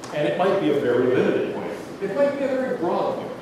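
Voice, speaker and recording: Amid strong room echo and noticeable background noise, a man with an American accent speaks at a high pitch with very wide pitch swings. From Pittsburgh, US. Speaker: philosophy professor. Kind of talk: lecture. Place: hall.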